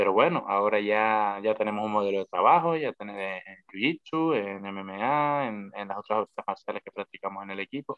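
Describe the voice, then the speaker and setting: Using an unremarkable speaking voice, a man speaks at a fairly low pitch and a moderate pace, with ordinary pitch variation. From Canary Islands, La Palma. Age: 20s. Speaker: professional MMA fighter. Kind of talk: casual interview chat.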